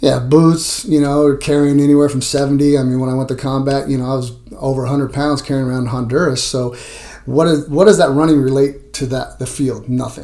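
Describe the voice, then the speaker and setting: A man talks at a fairly quick pace in a fairly high pitch with monotone, flat intonation. Noticeable background noise runs underneath. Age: 50s. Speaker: strength coach. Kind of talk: interview.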